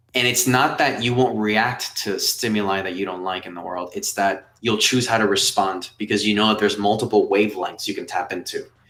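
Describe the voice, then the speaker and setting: A man with a Spanish accent speaks at a fairly quick pace with hardly any pauses, a fairly low pitch, fairly even intonation and a bright, sharp tone. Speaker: meditation teacher and app founder. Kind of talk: live webinar Q&A. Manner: conversational, with many fillers.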